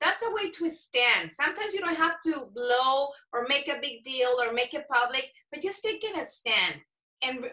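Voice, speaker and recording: In a raised, projected voice, a woman with a high pitch and a bright, sharp tone speaks at a moderate pace, her pitch swinging very widely. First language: Spanish. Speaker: former TV journalist, podcast host, event emcee. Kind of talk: interview chat.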